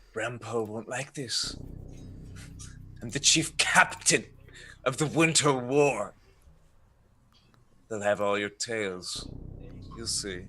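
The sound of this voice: A man's put-on, growling character voice at medium pitch, fairly slow, with big swings in loudness and long, frequent pauses.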